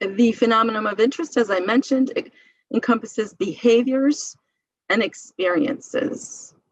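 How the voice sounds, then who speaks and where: A woman speaks in a plain, everyday voice at a moderate pace. Her pitch is fairly high with ordinary variation. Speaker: medical librarian teaching a seminar. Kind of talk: lecture.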